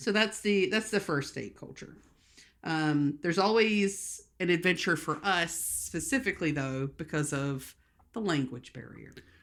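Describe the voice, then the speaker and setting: A woman with a Southern US accent speaks at a fairly slow pace and a fairly low pitch, with lively intonation. Her loudness swings widely on a very clean recording with a silent background. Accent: Southern American. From rural US South. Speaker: podcast co-host. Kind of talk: casual chat.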